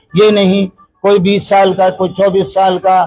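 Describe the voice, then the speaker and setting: A man's high-pitched voice with monotone, flat intonation. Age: 60s. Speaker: community elder, anti-drug campaigner. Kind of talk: street news interview.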